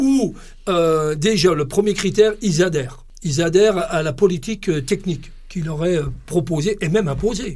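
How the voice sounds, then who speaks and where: A man talks at a moderate pace. His voice is high-pitched, with ordinary pitch variation. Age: 60s. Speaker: football club technical director. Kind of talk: podcast interview. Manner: halting, many repetitions and hesitations.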